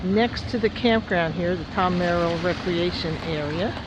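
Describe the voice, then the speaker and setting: The speaker has a New Jersey accent. Noticeable background noise runs underneath. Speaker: travel vlogger. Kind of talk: casual travel narration.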